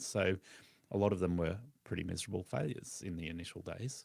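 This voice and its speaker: A man speaks with an Australian accent. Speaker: lawn care business owner and podcast host. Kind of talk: podcast interview.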